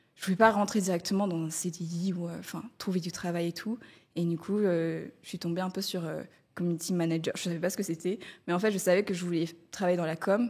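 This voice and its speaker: Her recording is very clean, with a silent background. The woman speaks fairly quickly in a fairly low, flat, monotone voice. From Madagascar. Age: 20s. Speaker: freelance community manager. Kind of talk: testimony. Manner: hesitant, many fillers.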